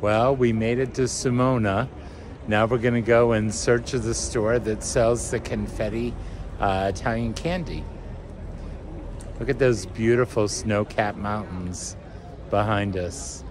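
A man talks at a fairly slow pace, leaving long, frequent pauses, with ordinary pitch variation. Music plays in the background, and the sound is dry with no echo. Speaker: travel vlogger. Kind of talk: casual vlog chat. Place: street. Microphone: phone near.

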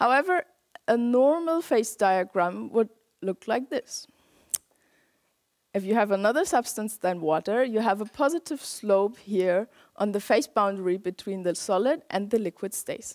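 A woman talking at a moderate pace against a quiet background. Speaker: lecturer. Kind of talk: lecture. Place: hall. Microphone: headset.

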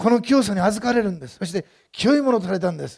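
Lively in intonation, a man speaks at a high pitch over a quiet background. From Japan. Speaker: pastor. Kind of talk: sermon. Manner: fast. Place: church. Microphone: headset.

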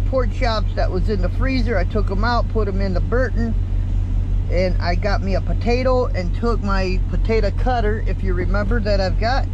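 A man talks at a moderate pace, his loudness very even. The sound is dry with no echo, though noticeable background noise comes through. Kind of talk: casual vlog chat. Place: car. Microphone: phone near.

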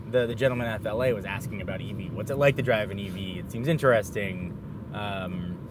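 A man's fairly low voice at a very fast pace, with ordinary pitch variation, a dry sound with no echo, and noticeable background noise. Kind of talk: casual conversation while driving. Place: car. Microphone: lapel.

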